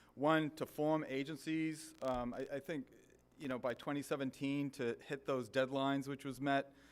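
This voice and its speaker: At a moderate pace, a man with a Boston accent speaks in a flat monotone at a fairly high pitch. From US Northeast, Boston area. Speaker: government official. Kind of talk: ceremony speech. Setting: stage with audience. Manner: halting, many fillers.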